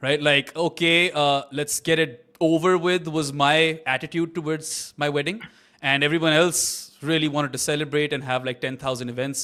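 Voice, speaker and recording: The voice is a normal speaking voice with fairly even intonation at a moderate pace. The recording is very clean, with a silent background. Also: man. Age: 30s. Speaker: cricket watch-along host. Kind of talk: casual chat; live commentary. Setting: live stream.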